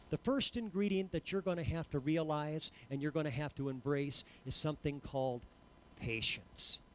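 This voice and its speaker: The tone is animated, at a moderate pace with ordinary pitch variation. Loudness stays very even, and the sound is dry with no echo. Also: man, fairly high pitch for a man. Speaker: preacher. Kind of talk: sermon. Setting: church. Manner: animated, exhorting the congregation in full flow; repeated emphatic phrases, call-and-response. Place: church. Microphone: headset.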